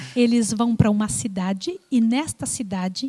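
A somewhat breathy woman's voice, fairly high in pitch and dark and mellow in tone, with lively intonation, a fairly slow pace and a dry, close sound with no echo. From Brazil. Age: 60s. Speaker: missionary. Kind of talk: testimony.

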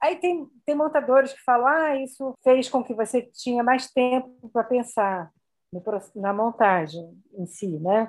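A woman with a high voice speaks at a fairly slow pace with lively intonation. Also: big swings in loudness. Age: 60s. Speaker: film editor and university professor. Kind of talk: interview.

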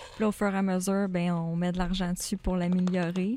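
This woman, with a Quebec accent, speaks at a moderate pace and medium pitch in a monotone, flat intonation. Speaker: bookkeeper at car tuning shop. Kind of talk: casual interview.

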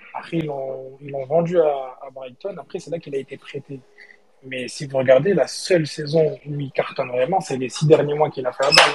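A man with a fairly high pitch talks at a moderate pace, his intonation fairly even but his loudness swinging widely, over noticeable background noise. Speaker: football fan caller. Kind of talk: casual chat. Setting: on a train. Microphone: poor reception.

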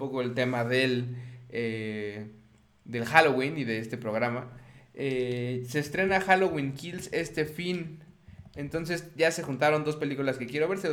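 Fairly high-pitched man with a Mexican accent at a moderate pace, with audible room echo. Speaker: video game podcast host. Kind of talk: casual chat.

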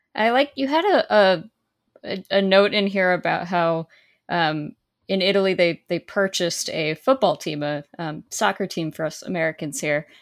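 On a very clean recording with a silent background, a woman with an unremarkable speaking voice talks at a moderate pace and medium pitch, her intonation lively and the sound dry and close with no echo. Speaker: podcast co-host. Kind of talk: casual interview.

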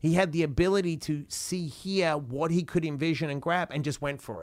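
Delivered in an Australian accent, the speech has an animated tone. The pace is fairly quick. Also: man. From Australia, Perth. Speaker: motivational speaker and author. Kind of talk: interview conversation.

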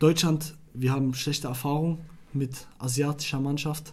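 The tone is dark and mellow, somewhat breathy. It moves at a fairly slow pace. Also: man. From Iraq. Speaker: football podcast co-host. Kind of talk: casual chat.

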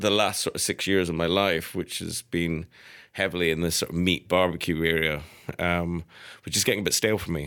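Very deep and low, a man's voice carries a Scottish accent. The recording is very clean with a silent background. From Scotland, Edinburgh. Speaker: chef. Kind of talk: casual chat. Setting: studio.

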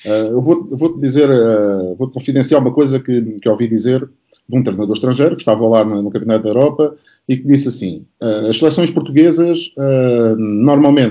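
With a plain, everyday voice, a man talks at a fairly quick pace and fairly high pitch, with ordinary pitch variation. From Portugal, Setúbal / Barreiro. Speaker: basketball coach. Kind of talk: panel discussion.

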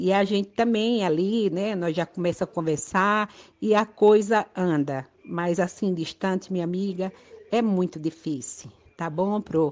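Over a quiet background, a normal speaking voice moves at a fairly slow pace with ordinary pitch variation. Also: woman. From Brazil, Northeast (Pernambuco). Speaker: adult education student. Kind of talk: recorded voice message.

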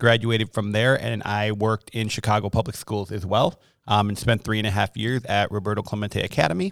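A normal speaking voice from a man with an American accent, fairly low in pitch with fairly even intonation, at a fairly quick pace with hardly any pauses, on a very clean recording with a silent background. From Wisconsin (Milwaukee). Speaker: elementary school principal. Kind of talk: casual interview.

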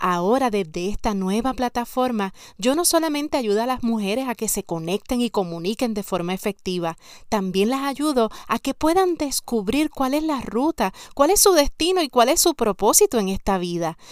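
Very cleanly recorded against a silent background, a woman talks at a fairly high pitch with very wide pitch swings. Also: moderate pace. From Puerto Rico, San Sebastián. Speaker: podcast host and life coach. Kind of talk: motivational podcast monologue.

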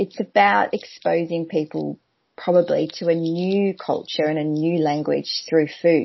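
Speaking in an Australian accent, a woman with a fairly low pitch moves at a fairly slow pace with lively intonation. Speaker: language event organizer. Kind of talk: casual interview chat. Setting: video call.

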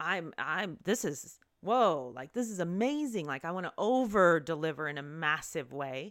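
On a very clean recording with a silent background, a woman speaks in an ordinary speaking voice at fairly low pitch with lively intonation. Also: moderate pace. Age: 40s. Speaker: yoga teacher and podcast host. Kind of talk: personal storytelling monologue. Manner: casual, with laughs and filler words.

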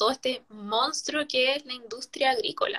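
Bright and sharp in tone, a woman speaks with a Chilean accent. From Chile, O'Higgins region. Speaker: writer and law student. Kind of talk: casual interview chat.

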